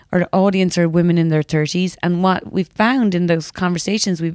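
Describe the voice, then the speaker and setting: Someone with an Irish accent is heard on a very clean recording with a silent background and a dry, close sound free of echo. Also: woman. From Ireland, West Cork. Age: 30s. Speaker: magazine editor. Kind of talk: interview. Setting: office.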